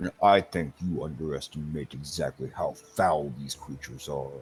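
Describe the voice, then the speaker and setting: Putting on a character voice, a man speaks with a very deep, low pitch and fairly even intonation. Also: moderate pace. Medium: actual play. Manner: blunt, terse.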